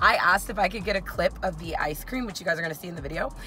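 Music plays in the background while the voice itself sounds dry, with no echo. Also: woman. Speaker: food vlogger. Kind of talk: casual vlog chat. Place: car. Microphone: phone near.

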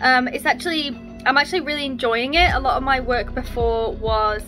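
A woman talks fairly quickly while clear music plays behind her. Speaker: marine biologist vlogger. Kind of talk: casual vlog chat. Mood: relaxed, content. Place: home room. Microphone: phone near.

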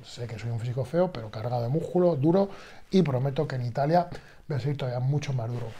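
A man's somewhat breathy, dark and mellow voice at medium pitch, with ordinary pitch variation and a fairly quick pace. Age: 40s. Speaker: bodybuilder and fitness youtuber. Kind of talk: casual vlog monologue. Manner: animated.

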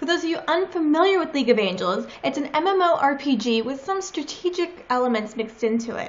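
This woman talks at a fairly quick pace in a high voice. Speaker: cosplayer vlogger. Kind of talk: casual vlog chat. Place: home room. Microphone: webcam.

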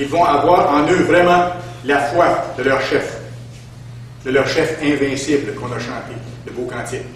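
Light background noise and audible room echo surround a man talking at a fairly slow pace. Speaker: preacher. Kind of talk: sermon. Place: church.

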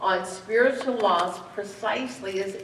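A woman is speaking. Audible room echo and light background noise are present. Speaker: pastor. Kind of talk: sermon. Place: church.

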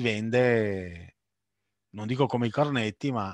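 Speaking in a Veneto accent, a man with a medium pitch and ordinary pitch variation goes at a fairly slow pace, with a dry sound with no echo and a quiet background. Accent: Veneto Italian. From Sicily (Messina), raised in Veneto. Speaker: food importer and businessman; webinar panelist. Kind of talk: webinar Q&A.

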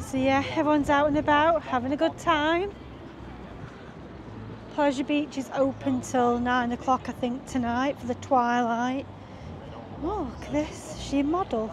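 A woman's high voice with ordinary pitch variation at a moderate pace, long, frequent pauses, dry sound with no echo and noticeable background noise. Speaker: vlogger filming a walk. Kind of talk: casual vlog chat. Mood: cheerful, amused. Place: street. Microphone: phone near.

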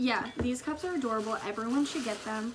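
A woman talks at a fairly quick pace. Noticeable background noise runs behind her. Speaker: co-host vlogger. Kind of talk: casual vlog chat. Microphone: phone near.

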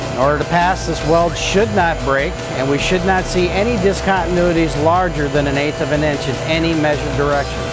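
Over clear background music, a man talks with hardly any pauses and ordinary pitch variation. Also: fairly quick pace, dry sound with no echo. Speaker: welding instructor. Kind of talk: tutorial. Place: workshop. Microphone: lapel.

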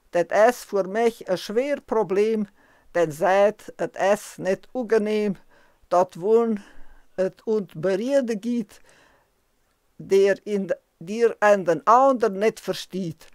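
A woman with a Transylvanian accent and a medium-pitched voice speaks very slowly with ordinary pitch variation and long, frequent pauses, her sound dry and close with no echo. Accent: Transylvanian Saxon dialect. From Transylvania, Romania. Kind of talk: poetry reading.

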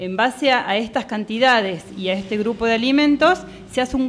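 High pitch and lively intonation mark a woman's speech. She keeps a moderate pace. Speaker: nutritionist, radio columnist. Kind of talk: educational radio segment. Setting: radio studio.

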